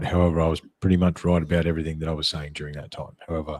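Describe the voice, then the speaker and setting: A man with an Australian accent speaks in a very deep, low pitch and a dark, mellow tone. The recording is very clean, with a silent background. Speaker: podcast host. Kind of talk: casual chat. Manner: halting.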